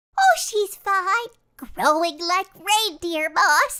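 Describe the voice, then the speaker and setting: Using a put-on character voice, a woman speaks squeakily at an extremely high pitch and a very slow pace. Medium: comedy sketch.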